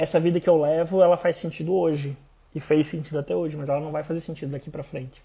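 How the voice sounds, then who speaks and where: The man's voice has a dark, mellow tone. He talks at a very fast pace. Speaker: podcast host. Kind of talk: casual personal storytelling monologue. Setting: Instagram live stream.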